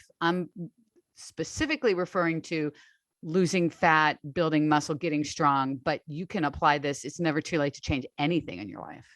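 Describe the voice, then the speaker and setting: A woman speaks with a very deep, low pitch and big swings in loudness. The sound is dry and close with no echo, against a quiet background. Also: ordinary pitch variation, moderate pace. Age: 60s. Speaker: online strength coach. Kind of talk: interview conversation.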